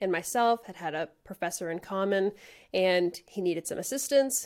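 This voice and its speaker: A woman's unremarkable speaking voice at a moderate pace, with ordinary pitch variation and a very clean recording with a silent background. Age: 30s. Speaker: audio engineer and AV integrator. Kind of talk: casual chat.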